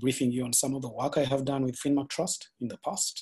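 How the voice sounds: A man's medium-pitched voice, dark and mellow in tone, with a slightly husky edge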